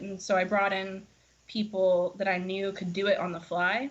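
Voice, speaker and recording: A woman with a slight country accent, medium pitch and a fairly slow pace. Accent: slight country twang. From US South, Florida. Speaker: singer-songwriter. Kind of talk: casual interview chat.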